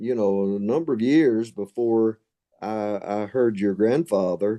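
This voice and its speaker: Music in the background behind a man with fairly low pitch at a fairly slow pace. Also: ordinary pitch variation. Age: 80s+. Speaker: pastor. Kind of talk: interview. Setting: recorded interview.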